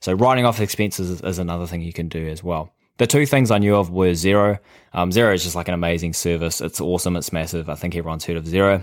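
Speaking very fast with a New Zealand accent, a man uses a very deep, low pitch with ordinary pitch variation in a very clean recording with a silent background. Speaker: podcast host. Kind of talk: casual monologue. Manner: casual, filler-heavy.

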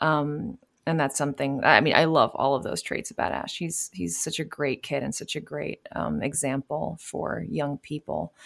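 A woman with an American accent speaks at a very deep, low pitch, with vocal fry and very wide pitch swings. The recording is very clean, with a silent background. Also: moderate pace, dry, close sound with no echo. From New York City. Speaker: voice actor. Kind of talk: interview.

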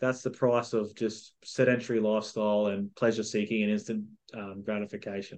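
At a fairly quick pace, a man with an Australian accent talks in a fairly low voice with monotone, flat intonation. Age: 30s. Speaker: mindset coach and author. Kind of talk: casual chat.

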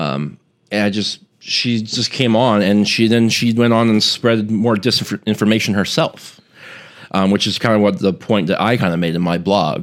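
In a very clean recording with a silent background, a man with a plain, everyday voice talks at a fairly low pitch and moderate pace with ordinary pitch variation. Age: 20s. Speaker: media analyst. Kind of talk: casual chat. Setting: studio.

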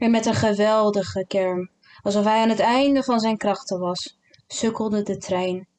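Over a quiet background, an unforced reading voice moves along with fairly even intonation.

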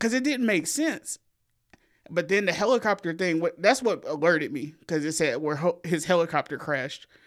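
Woman with a strong Southern US accent, fairly low pitch and lively intonation, at a moderate pace on a very clean recording with a silent background. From US South. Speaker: podcast co-host. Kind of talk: casual chat.

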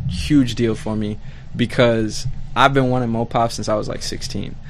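Amid noticeable background noise and audible room echo, a man speaks at a moderate pace and medium pitch with fairly even intonation. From Southwest Detroit. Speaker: musician. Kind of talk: casual chat. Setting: studio.

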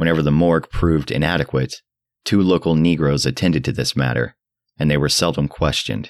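At a very fast pace, a man with a very deep, low pitch and vocal fry speaks with ordinary pitch variation and very even loudness in a dry, close sound with no echo. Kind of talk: literary audiobook reading, scripted first-person horror narration.

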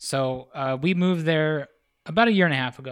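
On a very clean recording with a silent background, a man with an unremarkable speaking voice and an American accent speaks at a moderate pace, his fairly high pitch carrying lively intonation. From rural western Pennsylvania. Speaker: visual artist. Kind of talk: casual chat. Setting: artist's house room.

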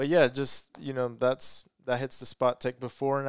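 With a Mexican accent, a man speaks fairly quickly in a dry, close recording with no echo. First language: Spanish. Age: 20s. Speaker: lawn care business owner. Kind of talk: casual chat.

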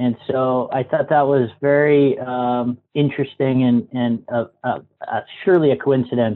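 A man with a normal speaking voice and an American accent talks at a moderate pace in a medium pitch. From Massachusetts, US. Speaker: co-working space owner. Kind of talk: interview.

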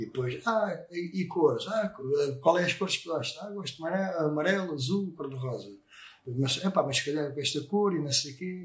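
A high-pitched male voice at a moderate pace, lively intonation, and noticeable background noise. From Portugal, Sesimbra. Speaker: motorcycle painter and business owner. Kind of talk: casual interview. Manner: halting, many fillers.

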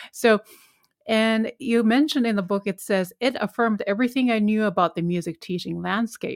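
Here a woman with a Japanese accent speaks at a moderate pace and a fairly high pitch, with ordinary pitch variation. The recording is very clean and dry, close with no echo, against a silent background. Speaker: podcast host and piano teacher. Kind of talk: interview.

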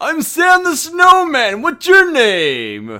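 A man puts on a character voice pitched extremely high. He speaks very slowly. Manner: friendly, greeting.

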